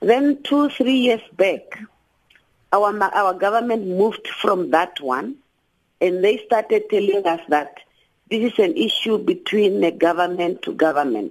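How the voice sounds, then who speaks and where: A woman talks at a fairly slow pace with very wide pitch swings. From Namibia. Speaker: activist and social work lecturer. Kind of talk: radio interview.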